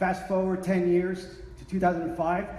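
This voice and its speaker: A very fast pace amid noticeable background noise and audible room echo. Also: man. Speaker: workplace change management consultant. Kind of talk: conference presentation. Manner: animated.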